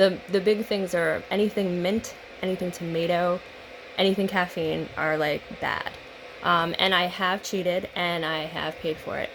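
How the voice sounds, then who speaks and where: Noticeable background noise behind a woman's fairly low-pitched voice, flat and monotone, at a moderate pace. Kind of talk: casual talk to camera.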